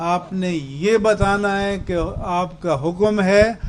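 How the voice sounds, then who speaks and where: A man speaks at a high pitch. His intonation is fairly even. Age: 70s. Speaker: religious scholar. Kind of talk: speech to a protest sit-in. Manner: formal.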